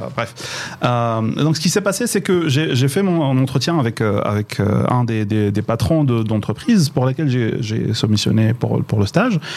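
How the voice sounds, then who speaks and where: Through noticeable background noise, a man at medium pitch speaks at a fairly slow pace with lively intonation and very even loudness. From Morocco, Boujdour. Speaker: digital transformation expert. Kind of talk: radio interview. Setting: radio studio in Casablanca.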